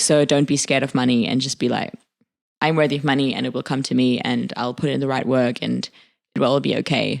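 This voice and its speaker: Speaking very fast with vocal fry, a woman has a very deep, low pitch and a monotone, flat intonation. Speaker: podcast co-host. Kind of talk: casual chat.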